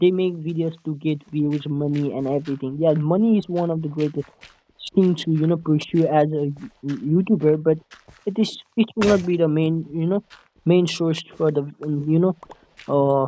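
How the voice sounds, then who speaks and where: In a Nepali accent, a man speaks at a fairly high pitch. His tone is dark and mellow, with fairly even intonation. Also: moderate pace. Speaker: gaming YouTuber. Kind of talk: casual gameplay commentary. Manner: halting, many fillers and restarts; stutter-like repetitions.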